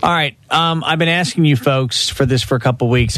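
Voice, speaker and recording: A man talks at a moderate pace, his pitch varying in an ordinary way. Noticeable background noise is present. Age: 40s. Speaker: radio host. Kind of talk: casual chat.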